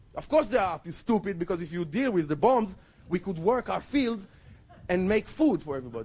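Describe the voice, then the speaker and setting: Fairly quick and high-pitched, a man with an Israeli accent swings very widely in pitch. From Israel, Jerusalem. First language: Hebrew. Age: 20s. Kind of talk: testimony. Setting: outdoors.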